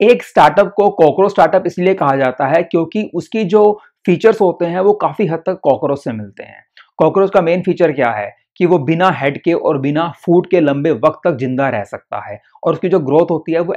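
Over a quiet background, a man with a high pitch speaks at a moderate pace. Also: ordinary pitch variation, big swings in loudness. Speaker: finance explainer host. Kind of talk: explainer presentation in Hindi.

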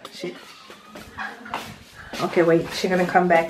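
A man with a French accent and a high pitch at a fairly slow pace, amid noticeable background noise. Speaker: vlogger. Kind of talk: casual talk to camera. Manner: upbeat. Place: home room. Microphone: phone near.

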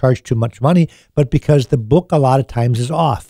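Over a quiet background, a man with a dark, mellow tone talks at a fairly quick pace with ordinary pitch variation, the sound dry with no echo. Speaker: radio show host. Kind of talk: radio talk show advice. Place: studio. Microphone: studio mic.

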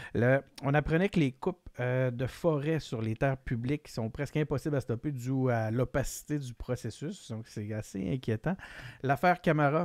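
The room adds no echo, so the sound stays dry. A man's speech moves at a moderate pace with ordinary pitch variation. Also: quiet background. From Quebec. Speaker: political podcast host; podcast host. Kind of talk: casual chat. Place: home room. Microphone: studio mic.

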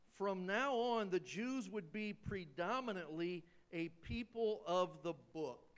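A man speaks at a very slow pace in a voice pitched high for a man, with ordinary pitch variation. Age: 60s. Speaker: pastor. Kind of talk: sermon. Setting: church.

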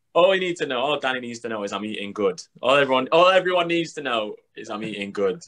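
A man with a Mancunian accent talks at a very fast pace with hardly any pauses, his loudness swinging widely. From Manchester, England. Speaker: professional basketball player; guest. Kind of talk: casual chat. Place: home room. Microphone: video call.

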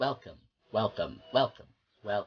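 This is a man's voice. His accent is American. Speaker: amateur voice-over creator. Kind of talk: blooper reel of voice-over recording. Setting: home recording. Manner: animated, exclamatory. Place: home room. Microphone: webcam.

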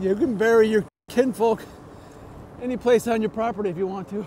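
Light background noise is present. The sound is dry with no echo. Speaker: e-bike vlogger. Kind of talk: casual vlog chat. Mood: reflective, then lighter. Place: bicycle. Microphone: lapel.

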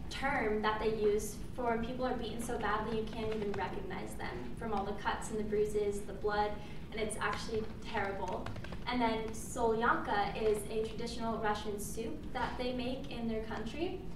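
A woman speaks at a moderate pace with fairly even intonation. Noticeable background noise and audible room echo accompany her. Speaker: presenter. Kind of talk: class presentation speech. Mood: slightly nervous, informal. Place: classroom. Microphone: camera far.

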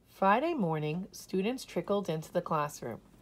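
A natural reading voice is heard. The intonation moves in a lively way.

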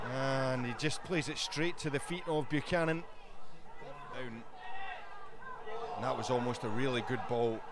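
Recorded dry with no echo but with noticeable background noise, a man with a Scottish accent speaks at a very slow pace, with a fairly high pitch and lively intonation. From Scotland. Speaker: match commentator. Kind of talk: live football commentary. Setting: stadium, outdoors in bad weather.

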